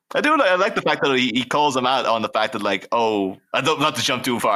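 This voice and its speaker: Bright, sharp tone in an American accent, fairly quick pace, very clean recording with a silent background. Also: man. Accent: slight Irish, sounds American at times. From Ireland. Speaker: podcast host. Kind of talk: casual chat. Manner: fast.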